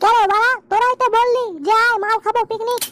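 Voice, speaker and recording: Squeaky and extremely high, a cartoonish character voice moves at a moderate pace. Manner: pushy, repetitive, greedy.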